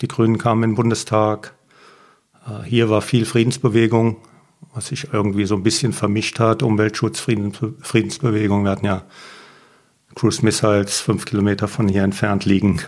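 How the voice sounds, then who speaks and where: Pausing long and often, a man speaks at a moderate pace with a fairly low pitch and fairly even intonation. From Germany, Mosel region (Reil). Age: 50s. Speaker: winemaker. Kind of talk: casual interview.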